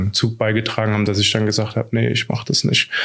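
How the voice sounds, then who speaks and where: A man is speaking. Background noise is noticeable behind him. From Hesse, Germany (Idstein). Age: 30s. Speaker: teacher and digitalization consultant. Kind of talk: interview. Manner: hesitant, many fillers.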